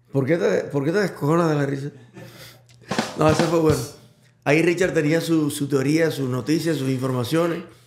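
Long, frequent pauses break up the speech, and room echo is audible. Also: man, fairly high pitch for a man, fairly even intonation, moderate pace. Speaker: podcast host. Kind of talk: casual chat.

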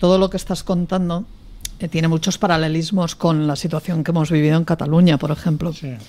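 Her voice has a dark, mellow tone and a fairly low pitch for a woman. She speaks at a fairly quick pace with fairly even intonation. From Catalonia. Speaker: politician. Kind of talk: panel debate. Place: studio.

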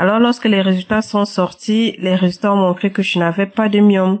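Speaking at a moderate pace, a woman with a medium-pitched voice has a slightly mellow tone and fairly even intonation.

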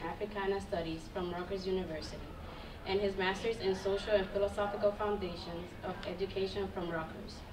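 The speech comes at a fairly quick pace in a monotone, flat intonation, with noticeable background noise behind it. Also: woman. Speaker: student ambassador. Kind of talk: formal speaker introduction. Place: classroom. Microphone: podium.

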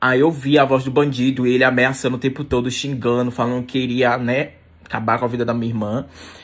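A man talking at a fairly quick pace. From Brazil. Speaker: social media influencer; content creator. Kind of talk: emotional video vlog. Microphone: phone near.

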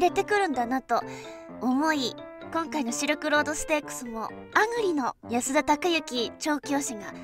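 Music plays in the background as a woman speaks at a moderate pace. Her high pitch comes with lively intonation. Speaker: horse racing VTuber. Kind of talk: casual talk to camera, race prediction.

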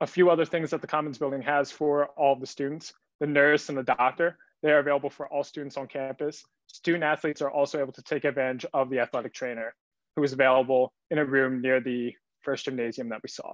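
A man with an American accent speaks very fast in a fairly high pitch, his intonation flat and monotone, against a quiet background. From southeastern Pennsylvania, Downingtown; Pennsylvania. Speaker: student tour guide. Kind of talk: guided campus tour. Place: home room. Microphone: webcam.

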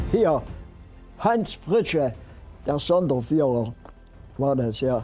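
Music plays in the background as a man speaks with very wide pitch swings. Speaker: WWII veteran, former German infantry soldier. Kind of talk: eyewitness interview answer.

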